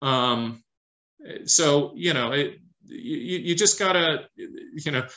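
With an American accent, a man is speaking. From Detroit, US Midwest. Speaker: investment fund manager; guest. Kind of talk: interview Q&A and presentation; interview answer. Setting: video call. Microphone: video call.

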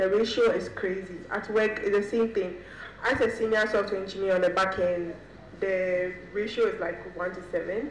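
Over noticeable background noise, a woman at medium pitch talks at a moderate pace with fairly even intonation. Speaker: software engineer and panelist. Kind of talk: panel discussion. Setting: stage with audience.

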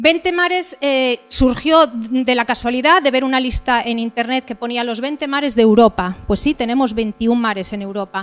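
A woman with a high pitch talks with hardly any pauses. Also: ordinary pitch variation, moderate pace. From Asturias, Villaviciosa; Asturias, Spain. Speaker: motorcycle adventurer and travel speaker; speaker. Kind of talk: talk with slides. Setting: stage with audience. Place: hall. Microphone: handheld.

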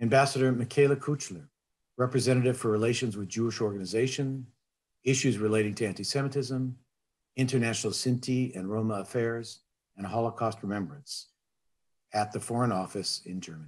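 With ordinary pitch variation and a fairly quick pace, a man talks over a quiet background. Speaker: conference host. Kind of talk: formal welcome speech. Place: home room. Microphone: webcam.

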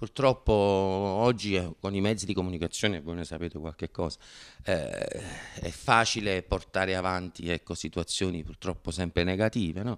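Fairly even intonation at a moderate pace against a quiet background. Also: man, very deep, low pitch for a man. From Naples, Italy. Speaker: actor and comedian. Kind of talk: interview answer. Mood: relaxed, reflective. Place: studio. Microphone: handheld.

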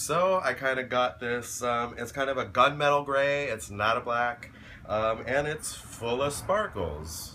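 A man talks at a fairly slow pace. There is light background noise. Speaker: vlogger. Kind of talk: casual vlog chat. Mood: cheerful, playful. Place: home room. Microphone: phone near.

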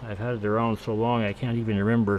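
Light background noise beneath a male voice. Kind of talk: casual tutorial narration. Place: home room. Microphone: camera far.

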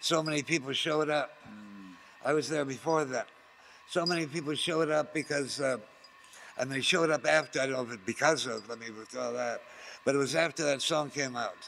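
A man speaks in a bright, sharp tone at a fairly high pitch. His pitch variation is ordinary, with light background noise. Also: fairly quick pace. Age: 70s. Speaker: counterculture activist and radio host. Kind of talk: interview. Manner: rambling, halting.

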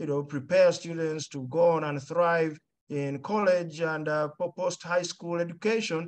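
The man's intonation is fairly even. He speaks at a fairly unhurried pace. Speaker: school head; panelist. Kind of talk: panel presentation. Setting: video call. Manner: slow, deliberate. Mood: warm, calm. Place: home room. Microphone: webcam.

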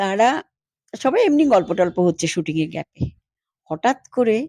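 A woman's voice has a dark, mellow tone and very wide pitch swings. The sound is dry and close, with no echo. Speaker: former film actress. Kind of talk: interview, reminiscing.

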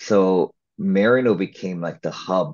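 The speaker is a man. He has an American accent. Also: quiet background. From Los Angeles, Little Tokyo; Los Angeles. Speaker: actor and filmmaker; interview guest, actor. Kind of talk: interview. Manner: casual, with many fillers. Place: home room. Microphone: video call.

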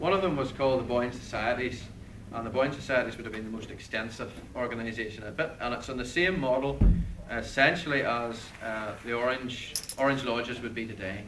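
Music sits in the background as a man with a Northern Irish accent talks at a fairly quick pace, medium pitch and ordinary pitch variation. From Northern Ireland. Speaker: historian. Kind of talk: public history lecture.

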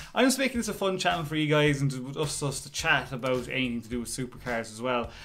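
A man talks at a very fast pace with lively intonation. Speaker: channel host. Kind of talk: casual vlog chat. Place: home room. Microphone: phone near.

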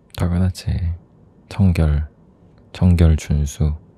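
A man speaks soft-spoken and somewhat breathy, with a very deep, low pitch and a dark, mellow tone. He goes at a very slow pace with fairly even intonation. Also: dry sound with no echo. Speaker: boyfriend character in roleplay. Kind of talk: ASMR boyfriend roleplay. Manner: soft-spoken, affectionate. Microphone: studio mic.

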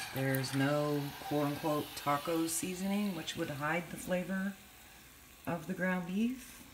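A woman speaks at a fairly slow pace with ordinary pitch variation. There is noticeable background noise. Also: fairly low pitch for a woman. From California. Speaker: home cook vlogger. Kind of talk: cooking tutorial; tutorial. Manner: casual, halting with frequent fillers. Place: kitchen. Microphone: phone near.

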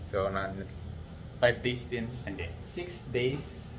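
Music can be heard in the background. Over it, a man talks at a very slow pace. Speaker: travel vlogger. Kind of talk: casual vlog chat. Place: home room. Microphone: phone near.

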